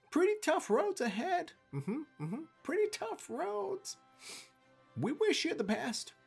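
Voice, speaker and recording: A put-on character voice, high in pitch, with very wide pitch swings at a fairly slow pace. Faint music plays in the background. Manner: casual, offhand.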